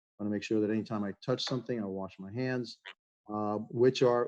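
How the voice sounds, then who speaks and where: A man talks at a very fast pace and medium pitch, with fairly even intonation. The sound is dry and close, with no echo. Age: 60s. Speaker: mayor. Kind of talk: press conference Q&A. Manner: informal, halting with fillers.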